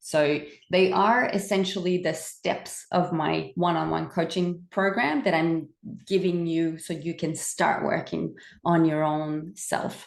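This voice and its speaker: In a French Canadian accent, a woman speaks at a fairly slow pace. Her pitch is fairly low, with ordinary variation. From French Canada. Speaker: wellbeing coach. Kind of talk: webinar presentation. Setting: recorded webinar on camera.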